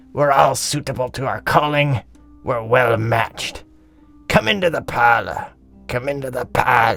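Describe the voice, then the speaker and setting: A man puts on a raspy character voice at a medium pitch with ordinary pitch variation. He keeps a moderate pace while faint music plays in the background. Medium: audio drama. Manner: wheezy chuckling cockney banter.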